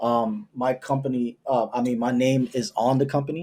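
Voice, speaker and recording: Heard in a very clean recording with a silent background, a man with an American accent speaks in a dark, mellow tone with fairly even intonation. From US Northeast, New York City. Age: 20s. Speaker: entrepreneur, company founder. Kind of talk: podcast interview.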